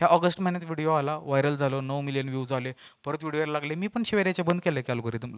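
A man speaks at a fairly high pitch with ordinary pitch variation, in a dry sound with no echo against a quiet background. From Maharashtra, Satara; Maharashtra. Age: 20s. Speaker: motivational speaker and comedian; motivational speaker, comedian. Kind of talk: stand-up storytelling. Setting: stage with audience. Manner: animated. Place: stage. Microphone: handheld.

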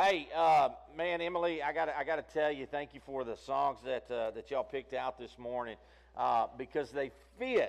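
A man speaks with vocal fry and fairly even intonation. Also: medium pitch for a man, moderate pace.

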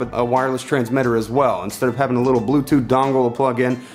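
Faint music plays in the background as a man talks at a very fast pace. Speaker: tech reviewer. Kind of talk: casual product review to camera. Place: home room.

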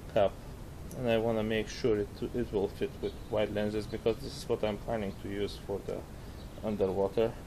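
This man speaks at a fairly slow pace in a fairly low pitch, with little pitch movement.

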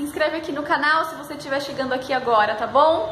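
Backed by music and audible room echo, a woman with a high pitch speaks at a fairly quick pace. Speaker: lifestyle vlogger. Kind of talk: casual vlog chat. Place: home room. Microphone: phone near.

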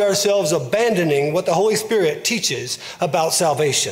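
This is a man speaking. His intonation is lively. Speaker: pastor preaching. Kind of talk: sermon. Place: church.

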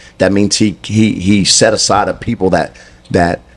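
A man with a Southern US accent, fairly low in pitch, at a moderate pace. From US South, Mississippi. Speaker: guest. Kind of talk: testimony. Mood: earnest, preaching tone. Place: studio. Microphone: handheld.

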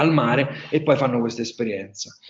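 A man with a strong Marche accent at a fairly quick pace, quiet background. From central Italy, Marche. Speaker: wine tourism entrepreneur; webinar presenter. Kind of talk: webinar presentation. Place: home room.

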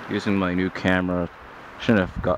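Against loud background noise, a man with a very deep, low pitch is heard in a dry sound with no echo. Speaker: amateur weather videographer. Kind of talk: casual vlog narration. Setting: outdoors. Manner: rambling, hesitant with fillers. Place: street. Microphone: new HD camera's built-in mic; phone near.

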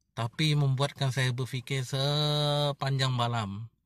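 A man with a fairly high pitch and a bright, sharp tone speaks with ordinary pitch variation, in dry sound with no echo and a quiet background. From Sarawak, Bintulu; Sarawak, Malaysia. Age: 30s. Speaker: vlogger. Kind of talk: casual vlog monologue. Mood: reflective, earnest. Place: car. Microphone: phone near.

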